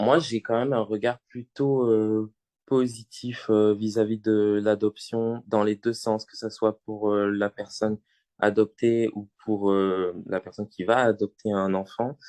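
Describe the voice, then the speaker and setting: A man's fairly low, dark, mellow voice, monotone and flat, at a very slow pace, with a dry, close sound with no echo and a quiet background. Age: 20s. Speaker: student, adoptee guest. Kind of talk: podcast interview.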